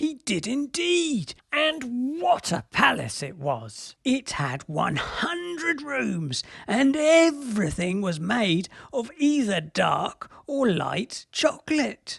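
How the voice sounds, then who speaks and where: A put-on character voice sits at a fairly high pitch. It moves at a very slow pace. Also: hardly any pauses. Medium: read story. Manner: storytelling, conspiratorial.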